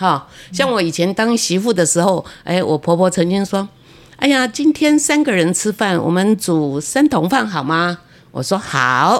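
Using a medium pitch, a woman talks at a fairly slow pace with very wide pitch swings and big swings in loudness. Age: 80s. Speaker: retired civil servant and author. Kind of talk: interview.

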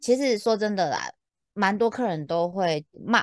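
A woman speaks at medium pitch with lively intonation. The sound is dry and close with no echo, over a quiet background. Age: middle-aged. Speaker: podcast co-host, customer service veteran. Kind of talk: casual chat. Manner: animated.

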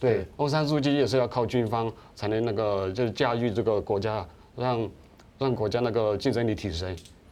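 Medium in pitch with ordinary variation, a man talks at a moderate pace. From Myanmar, Kachin State (Myitkyina), ethnic Chinese. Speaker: writer. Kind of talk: political discussion. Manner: halting, repeats words.

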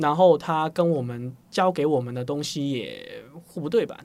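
Male speech, fairly high-pitched, with lively intonation, on a very clean recording with a silent background. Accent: slight Hong Kong. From Hong Kong. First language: Cantonese (speaking Chinese). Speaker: startup founder and CEO. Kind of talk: interview.

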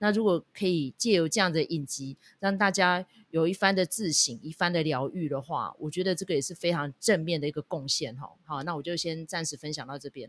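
A woman talks with a Taiwanese accent in a dry, close sound with no echo. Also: ordinary pitch variation, fairly quick pace, very clean recording, silent background. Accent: Taiwanese Mandarin. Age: middle-aged. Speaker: podcast host. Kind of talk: casual drama review chat. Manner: chatty, heavy use of filler particles.

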